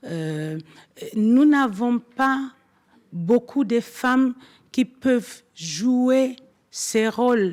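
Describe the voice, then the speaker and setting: A woman with a non-native accent, at a very slow pace with ordinary pitch variation. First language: not French (speaking French). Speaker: forum speaker, commission vice-president. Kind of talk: conference speech. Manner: halting, many hesitations.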